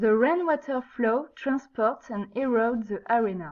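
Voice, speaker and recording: A fairly slow pace with a French accent. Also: woman. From France. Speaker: geology student. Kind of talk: student project presentation. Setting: low-quality microphone.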